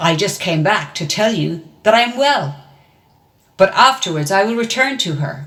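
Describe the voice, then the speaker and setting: Putting on a character voice at medium pitch, a woman leaves long, frequent pauses. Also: moderate pace. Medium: read story. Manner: boastful.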